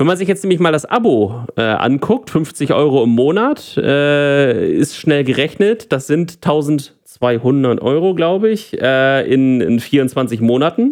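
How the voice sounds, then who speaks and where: A man's fairly high voice at a very slow pace, with lively intonation, very even loudness and hardly any pauses. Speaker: tech podcast co-host. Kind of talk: casual chat.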